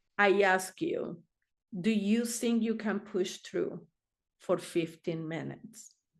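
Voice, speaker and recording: A woman's medium-pitched voice with a non-native accent, very slow pace and ordinary pitch variation. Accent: foreign. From Argentina. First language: Spanish. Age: 60s. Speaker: therapist. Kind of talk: interview answer.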